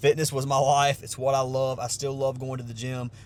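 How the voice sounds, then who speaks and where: A man with a Southern US accent, fairly high-pitched and somewhat breathy. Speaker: sports bettor and vlogger. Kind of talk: casual vlog talk. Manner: casual, with many fillers.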